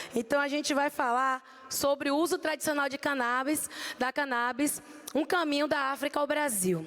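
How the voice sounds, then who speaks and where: This woman speaks with a Bahian accent. Her pace is moderate and her pitch variation ordinary. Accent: Bahian accent (from Salvador), noticeable. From Brazil, Salvador, Bahia. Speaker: pharmacist. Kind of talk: conference talk. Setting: stage with audience at expo.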